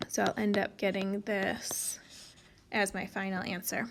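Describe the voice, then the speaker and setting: A woman's voice with vocal fry. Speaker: math teacher. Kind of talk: tutorial.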